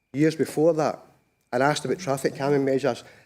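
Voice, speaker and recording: A man speaks with a Scottish accent. His pitch sits fairly high. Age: 60s. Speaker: petitioner, local resident. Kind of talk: public committee testimony. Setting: council committee meeting. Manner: halting, repeats words.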